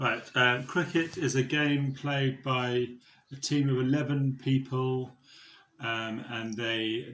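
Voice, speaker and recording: Talking at a very slow pace, a man with a southern English accent uses a medium pitch and fairly even intonation. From southeast England (Buckinghamshire). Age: 40s. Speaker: fundraiser. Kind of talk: interview answers.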